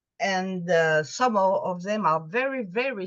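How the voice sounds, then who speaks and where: Speaking with a French accent, a woman talks at a very slow pace. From France. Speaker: Sherlockian magazine editor. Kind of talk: presentation to a video meeting. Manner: halting, with fillers and restarts.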